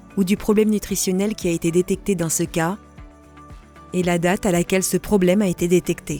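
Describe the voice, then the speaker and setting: Against music in the background, a woman speaks at a medium pitch and a moderate pace with fairly even intonation. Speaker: voice actor. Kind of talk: software demo explainer narration. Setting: home studio.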